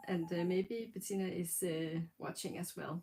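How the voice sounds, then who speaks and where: A woman speaks with a Danish accent at a moderate pace. Her tone is dark and mellow. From Denmark. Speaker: knitting podcaster. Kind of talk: casual livestream talk. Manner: halting, many fillers.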